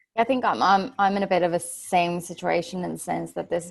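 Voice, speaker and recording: This woman's pitch sits fairly low, with ordinary pitch variation and some vocal fry. She talks at a fairly quick pace. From Finland. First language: Finnish. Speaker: mentor, panelist. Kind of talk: panel discussion.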